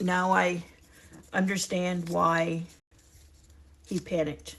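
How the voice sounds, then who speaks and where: A woman's fairly low-pitched voice at a very slow pace. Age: 60s. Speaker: retirement lifestyle vlogger. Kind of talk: casual chat to camera. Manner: conversational, warm; some halting restarts.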